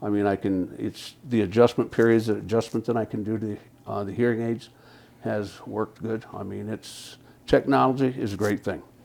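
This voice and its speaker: This man keeps a moderate pace, his pitch fairly low and his intonation fairly even. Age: 60s. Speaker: hearing aid client giving a testimonial. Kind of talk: testimonial interview. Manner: halting.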